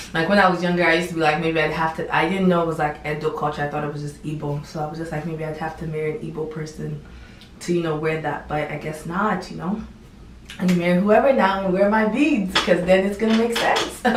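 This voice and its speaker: A woman talks at a very fast pace with an American accent and fairly low pitch. Noticeable background noise and audible room echo fill the recording. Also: ordinary pitch variation. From United States, raised from age six. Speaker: YouTuber. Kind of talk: casual vlog talk. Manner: casual, filler-heavy.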